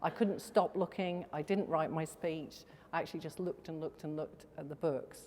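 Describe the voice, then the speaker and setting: With a Welsh accent, a woman speaks in a very deep, low voice and fairly even intonation. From Wales. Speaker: company executive. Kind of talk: welcome speech. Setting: stage with audience.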